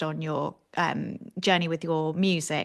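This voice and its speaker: Against a quiet background, a woman speaks with a British accent at a fairly low pitch. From Britain. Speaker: podcast co-host. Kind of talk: interview. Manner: hesitant, many fillers.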